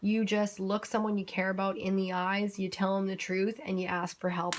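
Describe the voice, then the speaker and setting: A woman speaks at a medium pitch in a monotone with flat intonation. The recording is very clean with a silent background. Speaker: tarot card reader. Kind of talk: tarot reading monologue. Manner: tripping over words.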